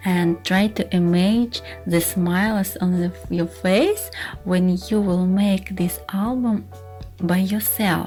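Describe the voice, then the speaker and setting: Over music in the background, a woman with a Russian accent speaks at a very slow pace. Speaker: scrapbooking teacher. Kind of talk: casual talk to camera.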